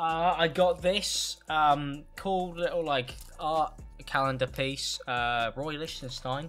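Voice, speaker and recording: A man speaking over faint background music. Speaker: youtuber. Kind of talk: casual vlog chat. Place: home room. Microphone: studio mic.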